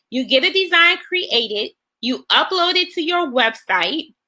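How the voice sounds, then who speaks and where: With a bright, sharp tone and a raised, projected voice, a woman speaks with very wide pitch swings. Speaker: online business coach. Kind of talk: webinar presentation.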